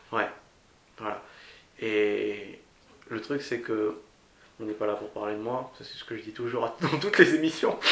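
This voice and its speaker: A man speaks with long, frequent pauses and big swings in loudness, his pitch varying in an ordinary way over noticeable background noise. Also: medium pitch for a man, fairly slow pace. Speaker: podcast host. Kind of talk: interviewer questions.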